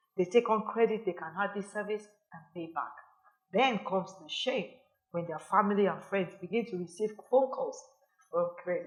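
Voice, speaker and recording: Her voice is somewhat breathy and fairly high in pitch. The woman keeps a moderate pace with lively intonation. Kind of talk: sermon-style teaching to camera. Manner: earnest, admonishing.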